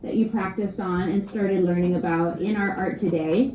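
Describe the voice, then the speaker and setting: Recorded with audible room echo and noticeable background noise, a woman talks at a moderate pace. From Hawaii. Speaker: art teacher. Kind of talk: art lesson for children.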